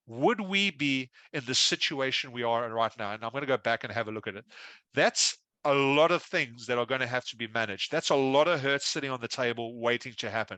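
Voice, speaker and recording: This man has an Australian accent and a bright, sharp tone. He moves at a fairly quick pace with ordinary pitch variation. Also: medium pitch for a man, dry, close sound with no echo, quiet background. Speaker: risk consultant, keynote speaker. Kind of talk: keynote speech. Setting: conference stage with audience. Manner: fast.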